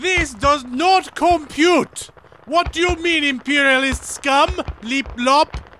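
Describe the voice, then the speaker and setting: Using a put-on, robotic character voice, a man speaks at an extremely high pitch and a fairly slow pace. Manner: stiff, mechanical.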